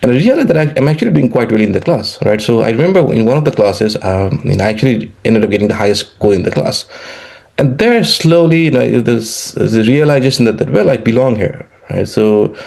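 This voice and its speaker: A man with a Nepali accent, very fast, with lively intonation and very even loudness amid noticeable background noise. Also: medium pitch for a man. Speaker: economics professor. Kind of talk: interview. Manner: halting, many fillers and repetitions.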